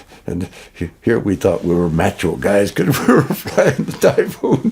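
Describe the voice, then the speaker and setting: Very deep, low tones from a man, unhurried at a fairly slow pace, amid noticeable background noise. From Manitoba, Canada. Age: 90s. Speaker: war veteran. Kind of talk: testimony. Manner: halting.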